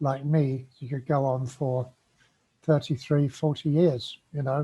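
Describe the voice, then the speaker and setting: This man has a fairly high pitch and a dark, mellow tone. His voice is somewhat breathy. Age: 70s. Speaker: COPD patient vlogger. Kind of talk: personal advice monologue. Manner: halting.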